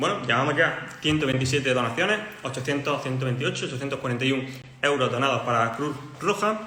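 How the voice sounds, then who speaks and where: The speech moves at a fairly quick pace with ordinary pitch variation. Audible room echo and noticeable background noise surround it. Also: man, medium pitch for a man. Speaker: chemistry tutor. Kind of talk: livestream lesson. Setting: livestream. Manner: fast.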